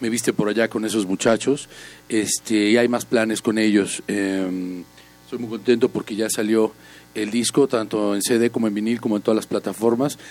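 A man speaks at a moderate pace and a fairly low pitch, his intonation monotone and flat. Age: 40s. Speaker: musician and writer. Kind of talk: interview.

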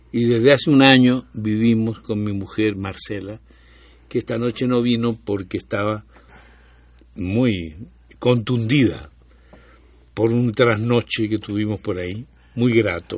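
Speaking at a fairly slow pace with long, frequent pauses, a man keeps his medium-pitched voice in a fairly even intonation. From Chile. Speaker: historian of public health. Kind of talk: casual chat.

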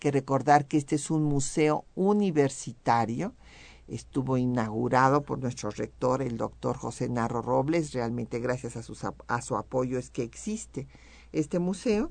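Her pitch very deep and low, a woman speaks with lively intonation. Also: fairly slow pace. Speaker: radio host, historian. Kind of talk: educational radio conversation.

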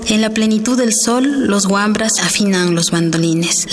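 A woman at a medium pitch with ordinary pitch variation and a fairly slow pace, with audible room echo and noticeable background noise. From Ecuador, Imbabura highlands (Kichwa community). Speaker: poet. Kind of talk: poetry reading.

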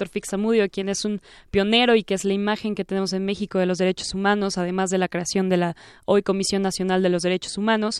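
In a very clean recording with a silent background and a dry, close sound with no echo, a woman talks at a very fast pace in a medium pitch. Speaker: law student co-host. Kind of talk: interview.

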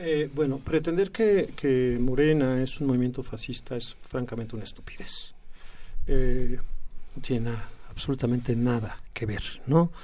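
A man of medium pitch talks fairly slowly in a dark, mellow tone with ordinary pitch variation. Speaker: left-wing political activist. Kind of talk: radio interview. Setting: studio. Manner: hesitant, many fillers.

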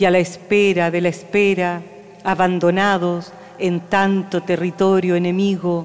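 Over noticeable background noise, a woman speaks at a very slow pace and a medium pitch. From Santiago, Chile.

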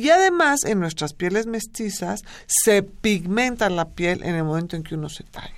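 A woman talks in a plain, everyday voice at medium pitch and a moderate pace. Her intonation is lively, and her loudness swings widely. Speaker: dermatologist. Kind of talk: radio interview.

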